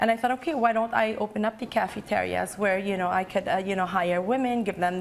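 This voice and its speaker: A woman talks at a fairly quick pace, her pitch fairly high and her pitch variation ordinary. Noticeable background noise sits behind her. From Lebanon. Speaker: entrepreneur. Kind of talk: interview. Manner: halting.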